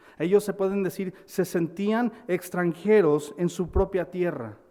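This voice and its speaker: Slowly paced and dark, mellow in tone, a man speaks with an American accent. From United States. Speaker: pastor. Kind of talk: sermon. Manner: halting, with repetitions.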